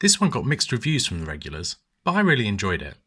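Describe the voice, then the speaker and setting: In a very clean recording with total silence behind him, a man with a bright, sharp tone and vocal fry speaks very fast, his pitch swinging very widely. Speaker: gaming video host. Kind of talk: casual video commentary.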